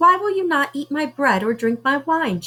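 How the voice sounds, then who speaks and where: Using a put-on character voice, a woman speaks at a moderate pace with a high pitch. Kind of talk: bedtime story. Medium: read story.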